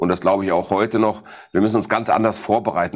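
With fairly even intonation and a fairly quick pace, a man talks on a very clean recording against a silent background. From Ruhr area, Germany. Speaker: sales expert. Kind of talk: interview. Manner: direct.

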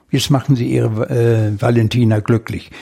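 A man at medium pitch, somewhat breathy, at a fairly slow pace. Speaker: retired mechanical engineer working in a carpentry workshop. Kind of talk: interview. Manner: halting.

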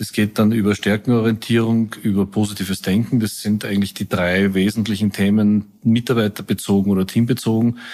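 A man's fairly low, dark, mellow voice in monotone, flat intonation at a fairly quick pace with hardly any pauses, on a very clean recording with a silent background. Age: 60s. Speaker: company executive. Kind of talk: interview.

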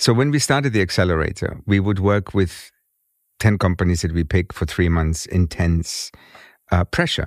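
On a very clean recording with a silent background, a man speaks at a very deep, low pitch with very even loudness and ordinary pitch variation. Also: moderate pace. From Germany. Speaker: fintech consultant and award jury member. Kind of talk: interview. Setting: studio.

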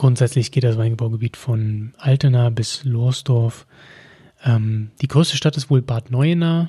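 A man's voice at a medium pitch with a dark, mellow tone and ordinary pitch variation, on a very clean recording with a silent background. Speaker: wine podcast host. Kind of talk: solo educational podcast. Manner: frequent filler hesitations.

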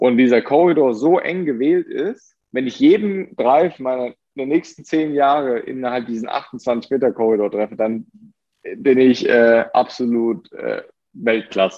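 Lively intonation from a man at medium pitch and a fairly slow pace. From Germany. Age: 20s. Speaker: professional golfer. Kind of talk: interview. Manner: hesitant with many fillers.

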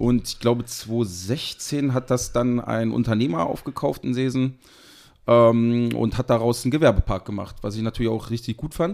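A man with an ordinary speaking voice talks at a moderate pace and a medium pitch, with ordinary pitch variation. The recording is very clean, with a silent background. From Harz region, Lower Saxony, Germany (Seesen). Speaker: sauce producer and caterer. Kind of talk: casual interview chat.

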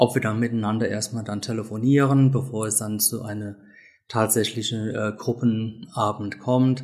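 A man's voice with fairly even intonation. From Great Britain. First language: English (speaking German). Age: 50s. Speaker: self-help group leader. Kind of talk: interview.

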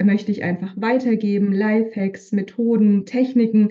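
Fairly slow, monotone speech from a woman at a fairly high pitch, dark and mellow in tone and somewhat breathy. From Bavaria, Upper Franconia (Hof). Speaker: leadership coach and manager. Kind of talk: interview conversation.

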